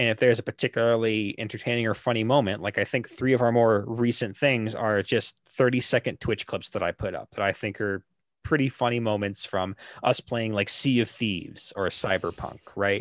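An ordinary speaking voice moves at a fairly quick pace with fairly even intonation, in a very clean recording with a silent background and a dry, close sound with no echo. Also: man, medium pitch for a man. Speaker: guest, gaming YouTuber and stream moderator.

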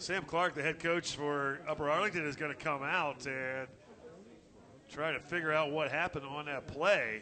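With a normal speaking voice, a man talks at a moderate pace and a fairly high pitch. His intonation is fairly even. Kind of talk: live baseball play-by-play commentary.

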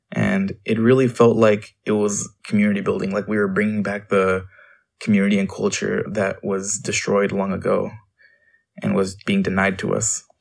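Here a man talks at a moderate pace and a fairly low pitch. His intonation is monotone and flat. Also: very clean recording, silent background. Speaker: youth. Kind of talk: testimony.

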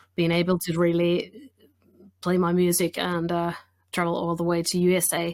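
A Finnish accent at a moderate pace, with monotone, flat intonation, in a very clean recording over a silent background. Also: woman, fairly low pitch for a woman. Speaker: blues singer and guitarist. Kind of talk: casual interview.

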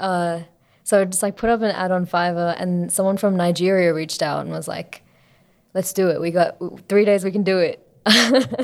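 A woman with an Australian accent at medium pitch and moderate pace, fairly even intonation, and a very clean recording with a silent background. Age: 20s. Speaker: singer-songwriter and music student. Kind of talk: casual interview.

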